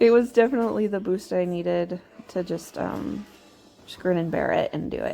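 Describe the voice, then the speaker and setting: Background music under a female speaker at a medium tempo. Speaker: homemaker and mom vlogger. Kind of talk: casual voiceover for cleaning vlog.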